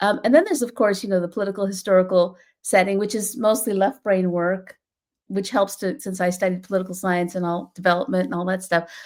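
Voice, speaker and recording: The woman's pitch sits in the medium range. She speaks very fast. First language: Bengali. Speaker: children's book author. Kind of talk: author talk about own book.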